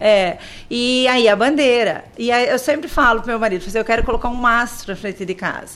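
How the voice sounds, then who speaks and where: With a high voice and ordinary pitch variation, a woman talks at a moderate pace. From Brazil, interior of São Paulo state. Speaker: primary school teacher. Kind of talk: radio interview.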